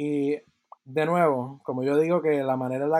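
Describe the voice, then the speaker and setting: Here a man speaks at a fairly slow pace with a fairly high pitch. The recording is very clean, with a silent background. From Puerto Rico (Yauco). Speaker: composer and podcast co-host. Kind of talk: interview.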